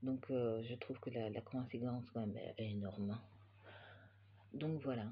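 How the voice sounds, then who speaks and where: A man speaks at medium pitch, monotone and flat. Noticeable noise runs in the background. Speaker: knitting podcaster and yarn dyer. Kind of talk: casual chat. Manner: hesitant, many filler sounds.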